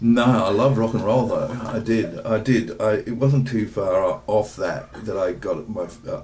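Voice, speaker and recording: Noticeable background noise sits behind a man's voice. He speaks at a fairly slow pace and medium pitch, with ordinary pitch variation. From Perth, Western Australia. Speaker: dramaturg and playwright. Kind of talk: casual interview. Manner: halting, many fillers.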